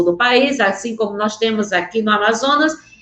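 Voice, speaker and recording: With lively intonation, a woman talks in an animated tone. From Northeast Brazil (rural area near Vaz Alegre). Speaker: teacher. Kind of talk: online lecture. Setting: remote video link.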